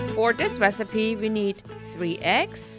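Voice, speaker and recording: The pace is very slow. A woman talks as music sounds behind her. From Stuttgart, Germany. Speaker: home cook. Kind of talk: cooking tutorial talk to camera.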